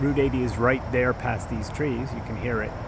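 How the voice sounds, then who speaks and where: Amid noticeable background noise and audible room echo, a man talks with an American accent. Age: 60s. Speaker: hiker vlogger. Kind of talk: casual vlog monologue. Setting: outdoors near a highway. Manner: halting, with fillers and repeats.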